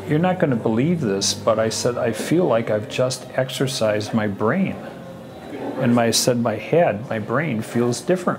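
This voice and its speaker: There is music in the background. The speaking pace is moderate. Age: 60s. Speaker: parent of the doctor. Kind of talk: documentary interview.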